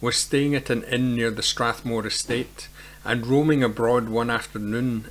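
Natural-voiced reading aloud, its intonation fairly even

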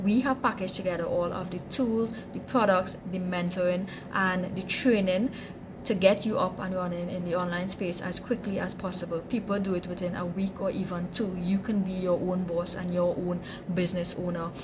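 Over clear background noise, a woman speaks with few pauses, a fairly low pitch and fairly even intonation. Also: moderate pace.

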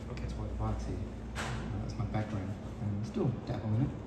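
Through loud background noise and audible room echo, a man speaks. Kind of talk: interview answer. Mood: relaxed, friendly. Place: cafe.

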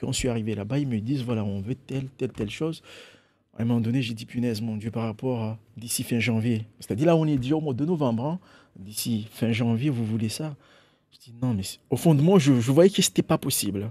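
Talking at a fairly quick pace, a man shows ordinary pitch variation and a dark, mellow tone. His loudness swings widely. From Mayotte. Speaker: painter and illustrator; guest. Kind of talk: radio and TV interview. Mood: relaxed, smiling. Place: studio. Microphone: studio mic.

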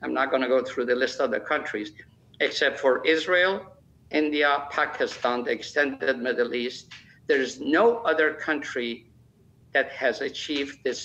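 Someone with a Persian accent speaks at a fairly slow pace over light background noise. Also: man. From Iran. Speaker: nuclear engineer. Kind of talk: interview. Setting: remote video link. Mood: calm, assertive. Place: home room. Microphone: earbuds.

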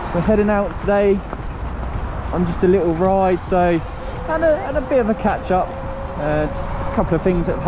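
Music plays in the background as speech moves at a fairly quick pace, the sound dry with no echo. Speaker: rider vlogger. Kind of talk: casual vlog chat. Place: motorbike. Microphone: helmet.

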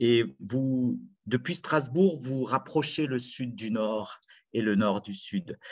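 A man speaks very slowly at a medium pitch with ordinary pitch variation, the background quiet. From France, Saint-Étienne (Loire); France. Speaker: storyteller. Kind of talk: storytelling performance. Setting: video call. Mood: warm, reflective storytelling. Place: home room. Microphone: webcam.

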